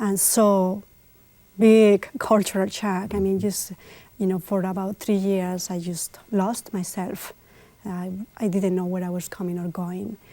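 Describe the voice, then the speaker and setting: A woman with a Spanish accent, medium pitch, dark, mellow tone, monotone, flat intonation and a fairly slow pace. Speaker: immigrant community figure. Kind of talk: TV interview.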